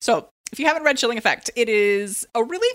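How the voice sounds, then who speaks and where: A woman with an American accent has a plain, everyday voice, pitched fairly high, with lively intonation. The recording is very clean, with a silent background. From San Diego, California. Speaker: book editor and podcast co-host. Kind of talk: casual chat.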